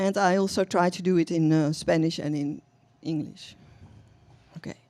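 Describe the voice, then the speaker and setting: Speaking at a moderate pace with fairly even intonation, a woman with a dark, mellow tone is heard on a very clean recording against a silent background. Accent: Dutch. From Netherlands. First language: Dutch. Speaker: poet and novelist. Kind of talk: poetry reading. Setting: coffee shop reading with audience. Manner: halting.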